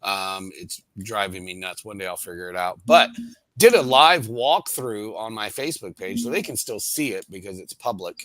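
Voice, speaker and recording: Delivered at a moderate pace in a normal speaking voice, the speech has lively intonation and big swings in loudness. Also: man, medium pitch for a man. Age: 50s. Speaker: cruise vlogger. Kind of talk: casual chat.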